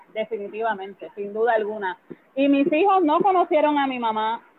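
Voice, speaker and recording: Against noticeable background noise, a woman speaks at a moderate pace in a high pitch with lively intonation. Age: 40s. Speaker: social worker. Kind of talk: interview.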